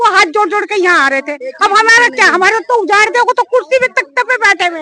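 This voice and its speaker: A woman projects a raised voice at an extremely high pitch. She speaks at a moderate pace. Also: dry, close sound with no echo. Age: 60s. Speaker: resident facing eviction. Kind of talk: street interview.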